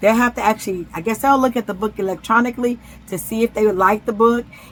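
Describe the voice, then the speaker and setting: With a plain, everyday voice, a woman speaks at a fairly high pitch with fairly even intonation. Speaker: self-published author and vlogger. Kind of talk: casual vlog talk.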